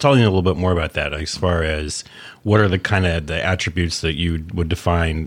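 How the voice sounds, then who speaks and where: Very deep and low, a man's voice moves at a fairly quick pace. His intonation stays fairly even. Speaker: podcast host. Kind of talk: interview.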